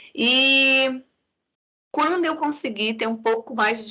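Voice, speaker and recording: A woman with a southern Brazilian accent speaks in a bright, sharp tone with lively intonation. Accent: non-Pernambuco southern Brazilian. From Santa Catarina, Brazil. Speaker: psychology professor. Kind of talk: lecture.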